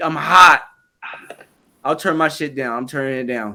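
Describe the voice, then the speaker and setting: A man speaks in a raised, projected voice at a fairly slow pace. His tone is bright and sharp. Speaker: sports podcast co-host. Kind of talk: casual chat. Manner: animated; loud, yelling.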